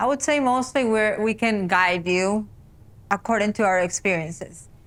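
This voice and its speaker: A woman speaks with a Spanish accent at a moderate pace, her pitch fairly high with ordinary variation. Her loudness stays very even, and the recording is very clean with a silent background. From South America. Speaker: podcast co-host. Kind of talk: casual chat. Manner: halting.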